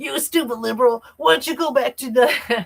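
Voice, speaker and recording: In a put-on character voice, the speaker bellows at a moderate pace, gruff and fairly high in pitch. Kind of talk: pro wrestler style. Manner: aggressive, insulting.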